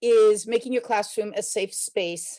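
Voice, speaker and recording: Here a woman speaks with a fairly high pitch. Her pitch varies in an ordinary way. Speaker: teacher presenter. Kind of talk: webinar presentation. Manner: hesitant, many fillers.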